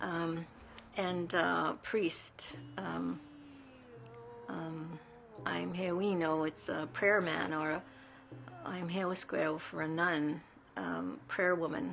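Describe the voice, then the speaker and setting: A fairly low-pitched woman's voice amid noticeable background noise. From Canada, Cree reserve. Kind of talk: interview.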